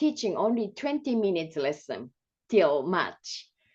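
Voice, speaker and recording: A woman with a Japanese accent. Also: quiet background. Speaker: music and movement teacher. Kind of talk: presentation. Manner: slow; halting.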